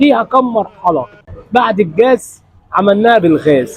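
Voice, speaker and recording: Over noticeable background noise, a man talks at a fairly slow pace. His voice is high-pitched, with lively intonation. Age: 60s. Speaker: kunafa maker. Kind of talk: interview about his craft.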